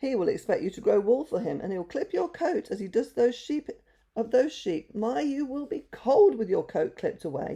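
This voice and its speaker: Fairly high pitch and moderate speed in a put-on character voice. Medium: read story.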